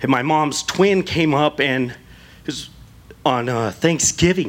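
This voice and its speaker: A man talks with an American accent. His pitch is fairly high. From Southern California. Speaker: church member. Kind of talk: testimony. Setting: church.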